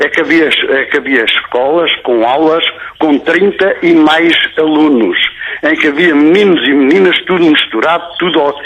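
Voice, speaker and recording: A man speaks at a moderate pace, his voice fairly high in pitch with ordinary pitch variation, while noticeable background noise runs underneath. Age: 70s. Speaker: caller, businessman. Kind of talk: phone-in comment. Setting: phone call.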